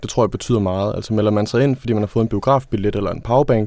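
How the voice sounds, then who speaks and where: Very fast delivery with ordinary pitch variation on a very clean recording against a silent background. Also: man. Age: 20s. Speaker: trade union consultant. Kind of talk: interview. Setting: studio.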